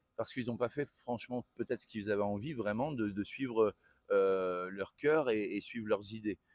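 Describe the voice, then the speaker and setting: At a moderate pace, a man speaks at medium pitch with ordinary pitch variation, the sound dry and close with no echo. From northern France. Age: 40s. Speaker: tailor and entrepreneur. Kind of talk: interview. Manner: hesitant, many fillers.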